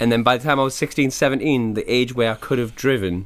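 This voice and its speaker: A man talks at a very fast pace with a Geordie accent. His pitch is medium. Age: 40s. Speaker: rapper. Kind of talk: casual chat. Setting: living room. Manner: animated.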